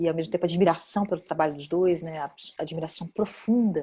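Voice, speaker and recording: A woman's fairly low voice, dark and mellow in tone, with a Brazilian accent and a fairly quick pace. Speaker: actress and film director. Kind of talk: interview. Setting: video call. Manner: hesitant, many fillers.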